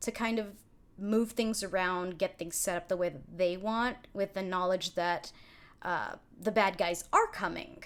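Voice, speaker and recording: A woman with a strong Californian accent talks at a fairly slow pace. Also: ordinary pitch variation. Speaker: streamer and game master. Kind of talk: live stream, casual planning chat; casual livestream planning talk. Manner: casual, filler-heavy. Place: home room.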